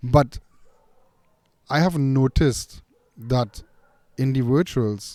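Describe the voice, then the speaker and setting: Taking long, frequent pauses at a very slow pace, a man with a non-native accent speaks at a medium pitch with ordinary pitch variation and a dark, mellow tone. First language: not English. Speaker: dog trainer and podcast host. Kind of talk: casual chat. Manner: halting.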